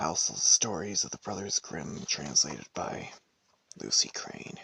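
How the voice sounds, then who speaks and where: A man whispers at a fairly slow pace. The sound is dry and close, with no echo. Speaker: ASMR storyteller. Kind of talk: casual introduction to camera. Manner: soft-spoken.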